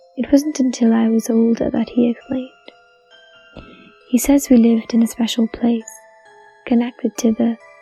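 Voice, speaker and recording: A woman speaks at a fairly high pitch in a flat monotone, with long, frequent pauses. The sound is dry and close with no echo, and music plays in the background. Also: moderate pace. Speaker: story narrator. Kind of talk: horror story narration.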